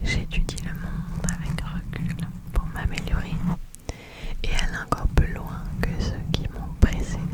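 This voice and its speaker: A woman's very slow whisper comes through noticeable background noise. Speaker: ASMR creator. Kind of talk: ASMR affirmations. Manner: whispered, soft.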